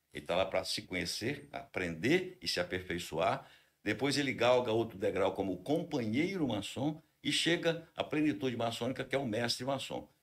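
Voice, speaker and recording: A man talks at medium pitch and a moderate pace. His voice moves in very wide pitch swings. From Brazil, Espírito Santo (Linhares). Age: 60s. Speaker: fraternal order leader. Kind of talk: podcast interview.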